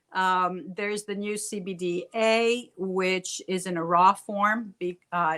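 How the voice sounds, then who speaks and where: Her tone bright and sharp, a woman of medium pitch speaks with fairly even intonation. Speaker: CBD wellness expert, therapist. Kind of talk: casual video chat show. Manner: hesitant with fillers.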